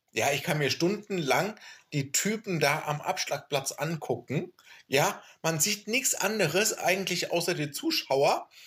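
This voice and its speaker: A man talks at a fairly slow pace in a high voice with lively intonation. His loudness stays very even. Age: 30s. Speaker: podcast host. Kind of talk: casual chat.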